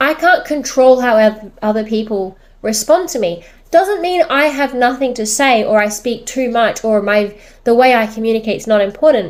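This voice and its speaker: In a normal speaking voice, a woman talks at a moderate pace with a fairly high pitch and lively intonation. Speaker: social media creator and business owner. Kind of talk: personal vlog monologue.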